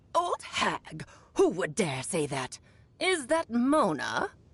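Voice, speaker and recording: A put-on character voice with a fairly high pitch. The pace is very slow. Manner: imitating her master.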